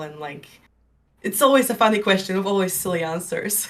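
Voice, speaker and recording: A woman speaks at a moderate pace in an unremarkable speaking voice, her pitch medium. The recording is very clean with a silent background. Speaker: streamer and artist. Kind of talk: podcast interview.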